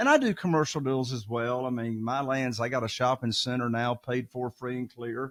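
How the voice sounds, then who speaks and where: At a moderate pace, a man talks in a Southern US accent. His voice sits at medium pitch. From US South. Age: 60s. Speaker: real estate investor. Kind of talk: podcast interview. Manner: animated.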